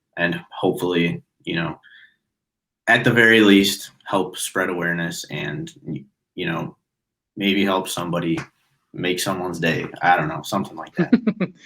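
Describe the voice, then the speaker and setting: Speaking in a Midwestern American accent, a man with a very deep, low pitch and a bright, sharp tone keeps a moderate pace and fairly even intonation, pausing long and often. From US Midwest, Chicago suburbs. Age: 20s. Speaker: podcast guest, bank worker. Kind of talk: casual chat.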